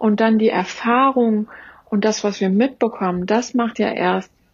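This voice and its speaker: The delivery is somewhat breathy, with fairly even intonation and a fairly slow pace. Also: woman. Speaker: trauma therapist. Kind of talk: interview.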